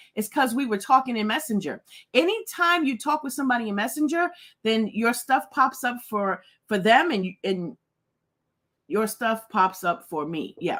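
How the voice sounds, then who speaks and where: A woman's fairly high, animated voice with lively intonation at a moderate pace. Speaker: livestream host. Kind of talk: casual livestream chat.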